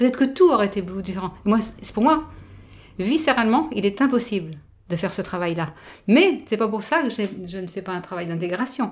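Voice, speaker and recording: On a very clean recording with a silent background, the speaker moves at a fairly quick pace with lively intonation and long, frequent pauses. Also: woman, medium pitch for a woman. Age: 50s. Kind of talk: interview. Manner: halting.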